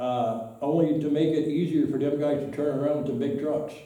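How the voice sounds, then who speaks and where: A man with an American accent talks at a fairly slow pace and a fairly high pitch, with ordinary pitch variation and audible room echo. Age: 70s. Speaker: local resident speaking at town meeting. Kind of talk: public comment at town board meeting. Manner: halting, repeats words.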